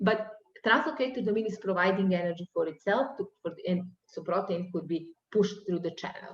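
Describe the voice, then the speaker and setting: A woman speaks with a non-native accent at a medium pitch. Her pace is fairly quick, with ordinary pitch variation. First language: not English. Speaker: university lecturer. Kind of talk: lecture. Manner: halting.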